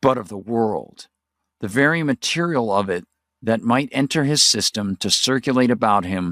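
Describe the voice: Plain reading aloud with lively intonation, set against a quiet background.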